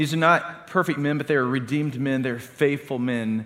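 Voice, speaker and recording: Here is a plain, everyday voice at a moderate pace with ordinary pitch variation. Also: man. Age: 40s. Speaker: pastor. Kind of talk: sermon.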